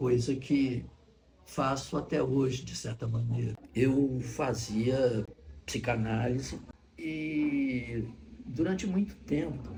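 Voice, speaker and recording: Audible room echo surrounds a man speaking at a very slow pace at medium pitch with ordinary pitch variation. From Brazil (born Rio de Janeiro, teen years in Salvador). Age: 70s. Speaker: actor and retired psychologist. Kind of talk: documentary interview. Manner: halting, with repeated words.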